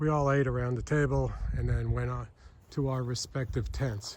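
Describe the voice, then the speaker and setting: A somewhat breathy man at a moderate pace with fairly even intonation. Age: 60s. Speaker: long-distance hiker vlogger. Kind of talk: casual vlog narration. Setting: outdoors on a hiking trail.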